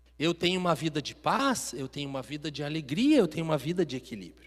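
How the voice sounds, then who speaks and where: A man with a southern Brazilian accent speaks with very wide pitch swings. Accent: gaúcho accent, acquired. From Minas Gerais, Brazil. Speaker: preacher. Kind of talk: sermon. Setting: church.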